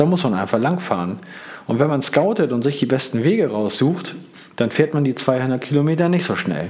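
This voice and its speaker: A man speaks at a moderate pace with a fairly high pitch and very wide pitch swings. Noticeable background noise runs behind him. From northern Germany, Hamburg. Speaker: cycling podcaster. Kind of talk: solo podcast monologue. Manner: casual, with many filler sounds.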